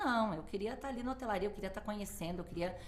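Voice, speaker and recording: A woman with a southern Brazilian accent, amid audible room echo and noticeable background noise. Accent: gaúcho. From southern Brazil, Porto Alegre. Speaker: hotel manager. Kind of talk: interview. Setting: studio.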